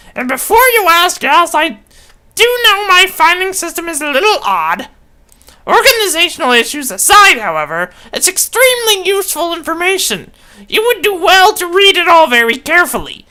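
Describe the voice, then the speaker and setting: In a put-on character voice, a woman speaks with an extremely high pitch and a pompous tone. Her intonation is lively and her pace moderate. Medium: game stream. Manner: pompous, lecturing.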